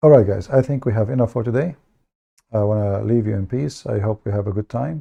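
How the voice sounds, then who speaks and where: Against a quiet background, a man speaks in a dark, mellow, somewhat breathy tone. His pitch is fairly low, with ordinary variation. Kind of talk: livestream talk to viewers. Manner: halting, with filler words.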